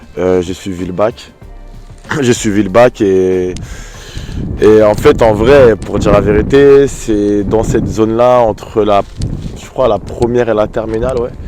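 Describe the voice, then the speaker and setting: A man speaks with a fairly low pitch and fairly even intonation at a fairly slow pace, with long, frequent pauses and music playing in the background. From France, Paris suburbs (Champigny-sur-Marne). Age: 30s. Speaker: dancer and choreographer. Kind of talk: interview. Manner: casual, halting with fillers.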